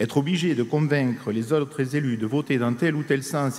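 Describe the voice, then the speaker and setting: Here a man speaks in a southern French accent at a moderate pace. His pitch sits at a medium level with ordinary variation. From southern France, Haute-Garonne area. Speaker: trade union delegate. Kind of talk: congress speech. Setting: stage at a union congress with audience.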